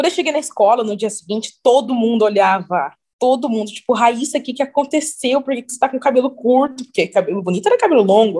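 A high-pitched woman's voice with a dark, mellow tone at a very fast pace, with lively intonation, big swings in loudness, and hardly any pauses. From interior of São Paulo state (Cruzeiro, near Rio border). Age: 20s. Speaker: model and beauty pageant titleholder. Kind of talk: casual interview.

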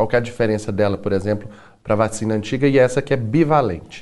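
With ordinary pitch variation and a medium pitch, the man has a plain, everyday voice. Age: 30s. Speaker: TV and radio host. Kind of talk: talk show interview.

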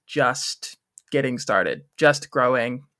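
An American accent marks this man's bright, sharp voice as he talks at a fairly slow pace in a very clean recording with a silent background. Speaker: musical theatre student. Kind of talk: interview.

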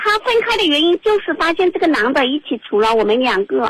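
At a moderate pace, a woman speaks at an extremely high pitch with very wide pitch swings, in dry, close sound with no echo. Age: 30s. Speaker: radio call-in caller. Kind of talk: advice call-in.

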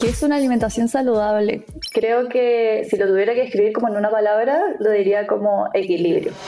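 A woman with a Chilean accent talks at a fairly quick pace with a fairly high pitch, ordinary pitch variation and very even loudness. The recording has noticeable background noise and audible room echo. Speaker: nutritionist. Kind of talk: interview.

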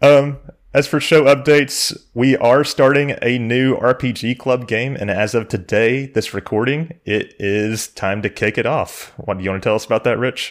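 A man with a normal speaking voice and medium pitch talks at a moderate pace, with ordinary pitch variation and hardly any pauses. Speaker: podcast host. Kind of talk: casual podcast chat.

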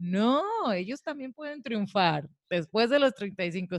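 A woman with a plain, everyday voice speaks at a medium pitch with lively intonation, the sound dry and close with no echo. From Mexico, Tijuana. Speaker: podcast co-host. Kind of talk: casual chat. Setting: studio.

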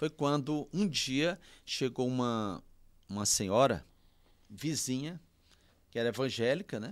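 A man at a fairly slow pace, with ordinary pitch variation, on a very clean recording with a silent background. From Piauí, Brazil (União, rural). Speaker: pastor. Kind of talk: casual interview.

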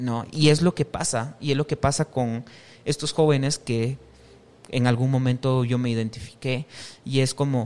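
A man speaks in a normal speaking voice at a fairly slow pace, with ordinary pitch variation. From Guatemala, western highlands (Quiché, San Pedro Jocopilas). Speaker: chef and restaurant owner. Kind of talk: casual interview chat. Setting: on location at his restaurant.

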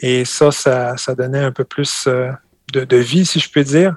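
A man with a fairly high pitch speaks at a fairly slow pace in a monotone with flat intonation, in a dry, close sound with no echo. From France, Normandy (Calvados). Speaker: farmer. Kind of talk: casual interview.

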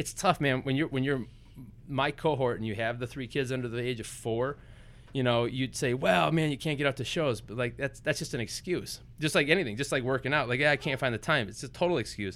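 With an American accent, a man speaks at a fairly quick pace and medium pitch, with vocal fry. The recording is very clean, with a silent background. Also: ordinary pitch variation. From Wisconsin, US Midwest. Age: 30s. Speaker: entrepreneur. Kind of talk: casual interview. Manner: animated.

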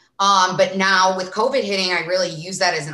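The speaker has a strong Midwestern accent. The pace is moderate. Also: woman. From small town Illinois, US Midwest. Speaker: sports reporter and influencer. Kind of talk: casual interview chat.

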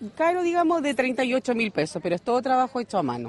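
A woman with a high voice speaks at a moderate pace in a dry, close sound with no echo, with noticeable background noise behind her. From Chile, Constitución. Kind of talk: interview at market stall. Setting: outdoors at craft fair.

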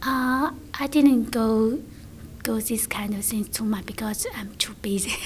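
A woman with a Chinese accent speaks at a fairly slow pace in a fairly high pitch with ordinary pitch variation, over noticeable background noise. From China. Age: 30s. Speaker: English student, former teacher. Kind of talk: interview. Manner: halting.

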